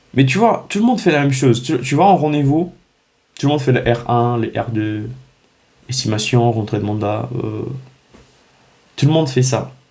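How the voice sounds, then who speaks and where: Spoken at a fairly slow pace with a non-native accent, the voice sounds animated and somewhat breathy, with ordinary pitch variation. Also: man. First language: not French (speaking French). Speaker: real estate business coach. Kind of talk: direct-to-camera vlog. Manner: animated, halting with many restarts.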